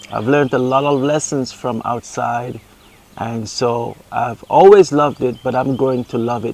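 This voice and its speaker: In a Caribbean accent, a man talks at a medium pitch. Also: ordinary pitch variation, moderate pace. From Montserrat, Caribbean. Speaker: paraplegic husband, gardener. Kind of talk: casual Q and A interview.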